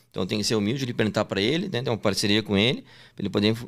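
Vocal fry and lively intonation mark this very fast speech, recorded very cleanly against a silent background. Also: man. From southern Brazil, Porto Alegre. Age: 20s. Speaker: sports betting tipster. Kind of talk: casual interview.

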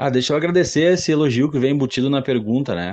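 Talking at a very fast pace, a man uses lively intonation and a dark, mellow tone over a quiet background. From Rio Grande do Sul, Brazil (Guaíba, near Porto Alegre). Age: 30s. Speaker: graphic designer. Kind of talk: casual chat.

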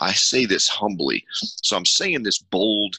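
A man speaks very slowly at a fairly low pitch. His tone is bright and sharp, and the sound is dry and close with no echo. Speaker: podcast host and army veteran. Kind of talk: advocacy talk show. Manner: emphatic.

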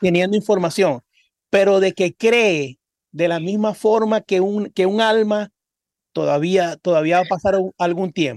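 A man's high-pitched voice in a Zulian Venezuelan accent, fairly slow, with ordinary pitch variation, very even loudness and a dry, close sound with no echo. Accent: Zulian Venezuelan Spanish with voseo. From Venezuela, Cabimas (Zulia). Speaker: singer and podcast co-host. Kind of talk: casual chat.

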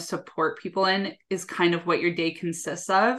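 A plain, everyday voice from a woman with a Canadian accent, medium in pitch and moderate in pace. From Canada. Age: 20s. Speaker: executive assistant and time management coach. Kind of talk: casual interview chat. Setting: video call.

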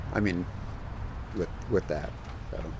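The speaker is a man. He talks at a moderate pace. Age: 60s. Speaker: surfboard laminator. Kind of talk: casual expert conversation.

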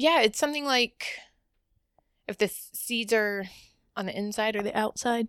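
A woman with a fairly high pitch and ordinary pitch variation speaks at a moderate pace, leaving long, frequent pauses. The sound is dry and close, with no echo. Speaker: podcast co-host. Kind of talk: casual chat.

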